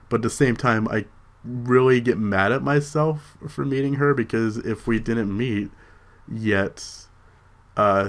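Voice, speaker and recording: A man mumbles. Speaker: vlogger. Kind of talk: personal vlog. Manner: mumbling; halting.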